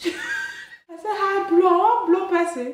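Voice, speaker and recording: This woman speaks at a fairly slow pace with a Nigerian accent. Her pitch is extremely high. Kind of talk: casual makeup tutorial talk to camera. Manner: upbeat.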